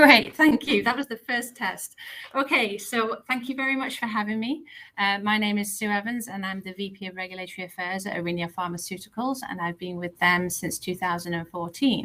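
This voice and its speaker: A woman with a British accent speaks at a medium pitch and a fairly quick pace. Her pitch varies in an ordinary way, with noticeable background noise behind her. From UK. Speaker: pharmaceutical executive. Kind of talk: career presentation. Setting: online video presentation.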